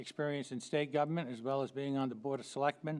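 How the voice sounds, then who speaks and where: Fairly even intonation marks this man's speech. His pitch sits fairly high. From Maine, Cape Porpoise. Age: 70s. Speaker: local political candidate. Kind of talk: candidate speech. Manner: halting.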